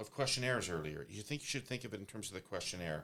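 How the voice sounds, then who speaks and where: The delivery is very fast, with lively intonation. Vocal fry runs through the voice. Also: man. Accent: Canadian. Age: 50s. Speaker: pollster and political consultant. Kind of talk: discussion. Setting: studio.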